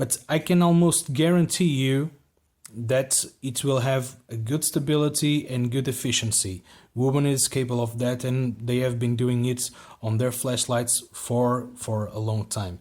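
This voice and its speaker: A man with a non-native accent speaks at a fairly slow pace with ordinary pitch variation. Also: medium pitch for a man, very clean recording, silent background. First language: not English. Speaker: flashlight reviewer. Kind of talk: product review. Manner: halting, many repeated words.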